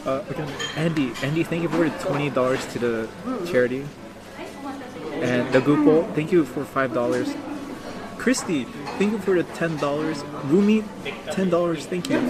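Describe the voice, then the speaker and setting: Someone with an American accent speaks with long, frequent pauses over noticeable background noise. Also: moderate pace. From New York area, US. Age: 20s. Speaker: livestreamer and English teacher. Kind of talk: casual live stream chat. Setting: restaurant lunch during outdoor live stream. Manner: casual, halting with repetitions.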